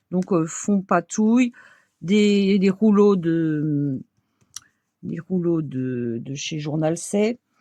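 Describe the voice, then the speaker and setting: With an Alsatian accent, a woman talks in a dark, mellow tone and lively intonation, the sound dry and close with no echo against a quiet background. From Alsace, France. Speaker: crafts video creator. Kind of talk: tutorial. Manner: casual, hesitant with fillers.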